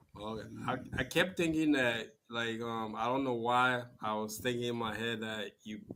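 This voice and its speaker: A man with a Liberian accent, medium pitch and a bright, sharp tone, at a moderate pace. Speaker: talk show host. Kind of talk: interview.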